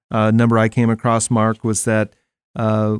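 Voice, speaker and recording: A man with an American accent has an unremarkable speaking voice, fairly low in pitch, at a fairly slow pace. The sound is dry and close with no echo, on a very clean recording with a silent background. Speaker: radio host. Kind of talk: interview conversation. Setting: studio.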